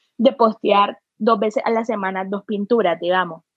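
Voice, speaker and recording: A woman with an unremarkable speaking voice talks at a moderate pace, her intonation fairly even. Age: 20s. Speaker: artist. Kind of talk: casual chat.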